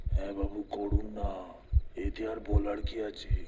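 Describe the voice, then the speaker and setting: Doing a cartoonish character voice, a man speaks at a moderate pace in a fairly low pitch over clear background noise. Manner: deferential, addresses passenger as sir.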